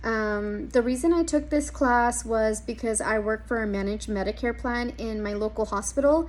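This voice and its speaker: A woman with a Spanish accent speaks at a moderate pace. She takes hardly any pauses. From US, Mexican American family. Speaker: social work student. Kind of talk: class introduction video. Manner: hesitant, many ums.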